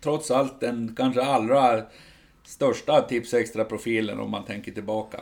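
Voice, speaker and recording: A man's ordinary speaking voice at a medium pitch and fairly slow pace, with fairly even intonation and big swings in loudness. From Sweden. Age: 50s. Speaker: football supporters club editor. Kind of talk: casual chat.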